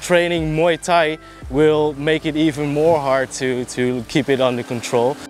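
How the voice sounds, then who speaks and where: A man talks at a moderate pace with a Dutch accent over noticeable background noise. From Netherlands. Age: 20s. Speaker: martial arts trainee sharing experience. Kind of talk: informal explainer vlog. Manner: halting, with fillers.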